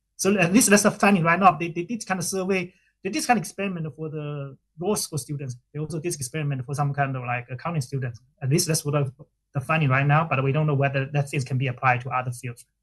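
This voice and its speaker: Talking at a very fast pace, a man with a fairly high pitch sounds somewhat breathy, his pitch varying in an ordinary way. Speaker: professor, conference presenter. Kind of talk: academic Q&A.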